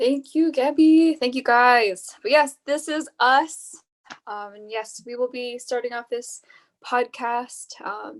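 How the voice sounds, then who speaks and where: At a very slow pace, a woman with an American accent talks in a high voice, her loudness swinging widely. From US West Coast (Bay Area, California). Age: 20s. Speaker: podcast host, nursing student. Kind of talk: casual podcast chat.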